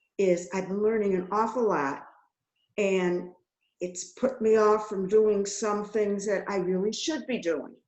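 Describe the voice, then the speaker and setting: Fairly slow and at medium pitch, a woman speaks with audible room echo. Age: 80s+. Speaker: webinar participant. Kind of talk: personal testimony. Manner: halting.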